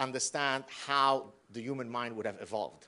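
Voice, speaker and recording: A man speaks with an Arabic accent at a moderate pace against a quiet background. His medium-pitched voice has a bright, sharp tone. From Lebanon. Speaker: professor. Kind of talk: lecture.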